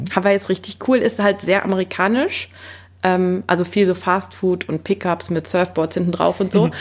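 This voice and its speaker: This woman speaks with fairly even intonation. Vocal fry runs through her voice. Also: medium pitch for a woman, moderate pace. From Siegerland, Germany. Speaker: photographer and travel blogger. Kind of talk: casual chat.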